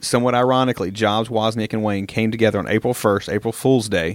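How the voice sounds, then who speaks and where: In a very clean recording with a silent background, a man with a Southern US accent and a fairly low pitch talks very fast with fairly even intonation. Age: 30s. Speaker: minister and podcast co-host. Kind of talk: casual chat.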